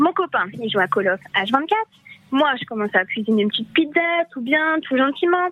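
Speaking at a moderate pace, a woman with a high-pitched voice makes very wide pitch swings while noticeable background noise runs underneath. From Paris. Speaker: radio caller. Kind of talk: casual phone-in chat, storytelling. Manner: laughing, lively.

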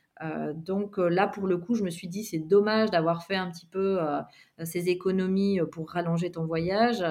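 A woman speaks at a fairly slow pace in a plain, everyday voice. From Belgium. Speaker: yoga teacher and physiotherapist. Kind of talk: interview.

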